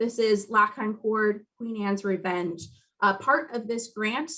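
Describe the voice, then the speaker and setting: With ordinary pitch variation and a fairly slow pace, a normal speaking voice is heard. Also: woman. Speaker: heritage commission staff member. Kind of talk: meeting presentation.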